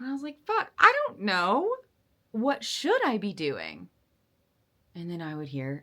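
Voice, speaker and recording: A woman speaks in an animated tone at a fairly slow pace, her loudness swinging widely, with long pauses coming often. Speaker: vlogger. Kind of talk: casual monologue.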